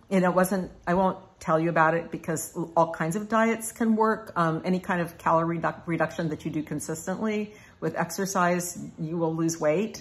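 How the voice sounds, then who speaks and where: A woman's somewhat breathy voice, fairly low in pitch, with fairly even intonation at a moderate pace. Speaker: personal growth video blogger. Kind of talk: casual talk to camera.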